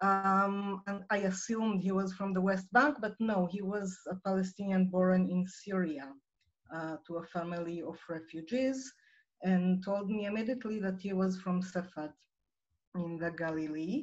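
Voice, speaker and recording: A woman with an Israeli accent speaks at a moderate pace, somewhat breathy. Her pitch varies in an ordinary way, and the background is quiet. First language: Hebrew. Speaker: nonprofit director; guest. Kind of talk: personal story in online presentation. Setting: video call. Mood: calm, earnest. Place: home room. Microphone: video call.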